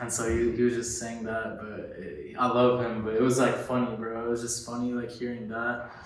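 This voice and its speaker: Speaking in a flat monotone at a fairly quick pace with hardly any pauses, a man with an American accent talks at a medium pitch. The room echo is audible and there is noticeable background noise. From Florida (Orlando). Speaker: solar salesman. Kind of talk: casual interview.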